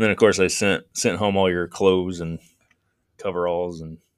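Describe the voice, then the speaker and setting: A man with an American accent and a very deep, low pitch speaks fairly quickly in a monotone, flat intonation on a very clean recording with a silent background. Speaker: podcast host.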